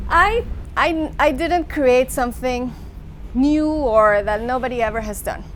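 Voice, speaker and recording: A woman with a Mexican accent speaks at a fairly slow pace in a high voice with ordinary pitch variation, and the room echo is audible. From Mexico. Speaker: public speaking coach. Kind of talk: interview.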